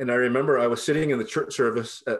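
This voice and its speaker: A man speaks with a Californian accent. His pitch is medium. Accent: Californian American English. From Southern California, Los Angeles area. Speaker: pastor and professor. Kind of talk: interview conversation.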